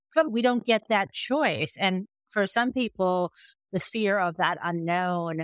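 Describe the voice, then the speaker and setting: A woman with an American accent talks very slowly at a medium pitch, her intonation lively and the sound dry and close with no echo. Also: very clean recording, silent background. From US Midwest, Michigan. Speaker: author and legal scholar. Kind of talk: interview conversation. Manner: animated.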